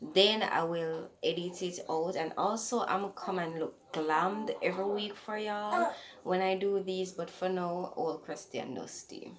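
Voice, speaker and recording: Against noticeable background noise and audible room echo, a soft-spoken voice with a Jamaican accent moves at a fairly slow pace with ordinary pitch variation. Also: woman. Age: 20s. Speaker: podcaster. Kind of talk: casual chat.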